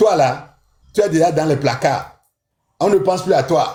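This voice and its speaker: The delivery is moderate in pace and animated in tone. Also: man. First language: an African language (speaking French). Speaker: spiritual tradition teacher. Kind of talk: live-stream teaching.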